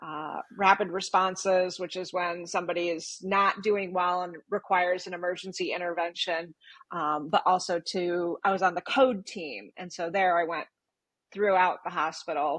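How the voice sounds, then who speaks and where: A woman with a plain, everyday voice, fairly low pitch, fairly even intonation, and big swings in loudness. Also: moderate pace. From Michigan, US. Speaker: nurse. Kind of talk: casual interview chat.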